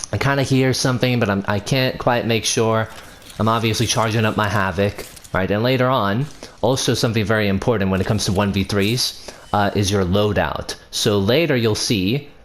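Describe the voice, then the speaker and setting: Over noticeable background noise, a man speaks at a moderate pace with a fairly low pitch, fairly even intonation, and very even loudness. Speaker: gaming video creator. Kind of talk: gameplay commentary tutorial. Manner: stumbling, self-correcting; casual, conversational.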